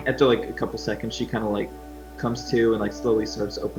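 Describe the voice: This clip is plain reading aloud.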